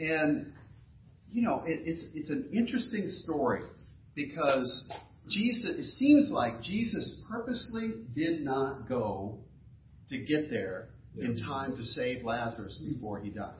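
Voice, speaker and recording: A man with an American accent speaks at a fairly slow pace and fairly high pitch. His pitch swings very widely over noticeable background noise. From US South, Fort Lauderdale, Florida. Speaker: pastor. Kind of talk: sermon. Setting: church.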